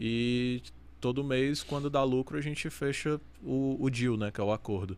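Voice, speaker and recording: Pitched at a medium level, the man has an unremarkable speaking voice whose pitch varies in an ordinary way. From Amazonas, Brazil. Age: 20s. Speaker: professional poker player. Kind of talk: casual chat.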